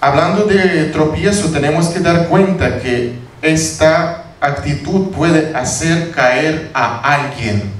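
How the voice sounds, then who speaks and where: In a non-native accent, a man talks at a very slow pace and a fairly high pitch, amid noticeable background noise and audible room echo. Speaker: pastor. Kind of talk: sermon. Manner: halting.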